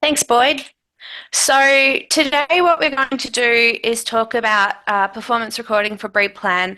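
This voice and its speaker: A woman with a fairly high pitch, a bright, sharp tone and an Australian accent. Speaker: agricultural extension team leader. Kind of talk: webinar presentation. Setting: video call.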